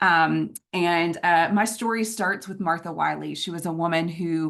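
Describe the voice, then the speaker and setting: A woman with a Southern US accent talks at a moderate pace in a fairly low pitch. The background is quiet. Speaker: nonprofit executive director and conference speaker. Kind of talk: conference presentation. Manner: many filler words (um, uh).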